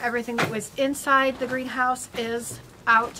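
Noticeable background noise beneath a woman speaking. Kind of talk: casual vlog chat. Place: farm machine.

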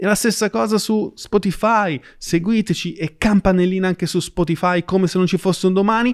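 Against a quiet background, a man with a high pitch and an animated tone talks at a fairly quick pace with ordinary pitch variation and hardly any pauses. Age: 40s. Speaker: podcast host and financial educator; podcast host, financial educator. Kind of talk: conversational interview; podcast interview questions. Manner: casual, animated. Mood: casual, conversational. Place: studio. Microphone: studio mic.

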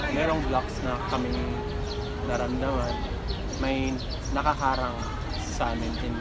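Over loud music in the background, a man talks at a fairly slow pace with long, frequent pauses. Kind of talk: interview answer. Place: street.

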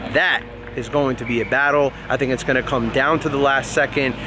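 A man talks at a fairly quick pace in a monotone with flat intonation, the sound dry with no echo and the background noise noticeable. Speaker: rugby vlogger. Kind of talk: casual vlog chat. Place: stadium. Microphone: phone near.

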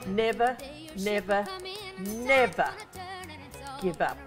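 A woman at a very slow pace, with clear music in the background. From Australia. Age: 80s+. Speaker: performer. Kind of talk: interview answer. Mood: emotional, earnest encouragement. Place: studio.

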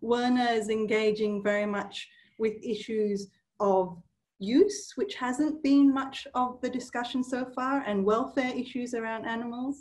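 A woman's high-pitched voice with ordinary pitch variation over a quiet background. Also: fairly slow pace. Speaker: workshop host. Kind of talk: session introduction. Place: office. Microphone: webcam.

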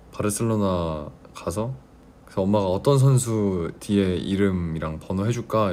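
Here a man speaks with a very deep, low pitch. His pace is moderate. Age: 20s. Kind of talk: casual livestream talk to fans.

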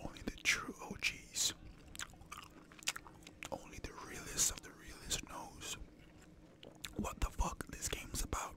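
Whispering at a fairly slow pace, a man leaves long, frequent pauses. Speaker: ASMR gaming creator. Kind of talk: gameplay commentary. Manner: whispered.

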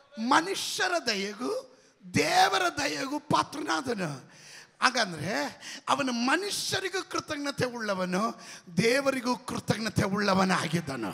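A man's raised, projected voice at an extremely high pitch, with very wide pitch swings. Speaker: pastor. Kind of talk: sermon. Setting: church. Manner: loud. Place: church. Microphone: handheld.

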